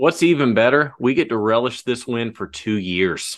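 An unremarkable speaking voice with lively intonation over a quiet background. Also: man. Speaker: podcast host. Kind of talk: casual sports podcast chat.

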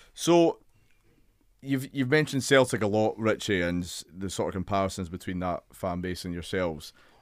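Speaking in a Scottish accent, a man with a fairly low pitch keeps a moderate pace and lively intonation. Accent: Scottish, Edinburgh. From Scotland. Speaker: podcast host. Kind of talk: interview. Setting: studio.

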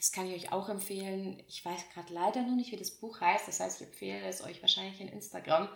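A woman's medium-pitched, fairly quick speech with fairly even intonation and big swings in loudness, against noticeable background noise. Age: 20s. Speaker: podcast host. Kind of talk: casual monologue.

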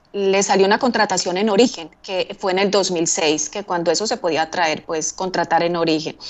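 A woman with an unremarkable speaking voice and ordinary pitch variation. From Colombia, Medellín. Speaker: immigrant telling life story. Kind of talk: interview.

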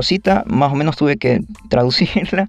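A man with a normal speaking voice talks at a fairly slow pace with lively intonation. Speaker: podcast host. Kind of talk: casual monologue.

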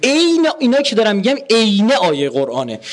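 Through noticeable background noise, a high-pitched man talks at a fairly quick pace in an animated tone, his pitch swinging very widely. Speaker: religious lecturer. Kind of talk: lecture. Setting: university hall with audience.

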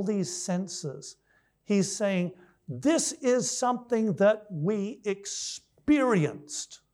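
On a very clean recording with a silent background, a man speaks at a high pitch with very wide pitch swings. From Malaysia and Thailand, missionary family. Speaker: biology professor, guest speaker. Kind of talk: sermon-style lecture. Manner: halting.

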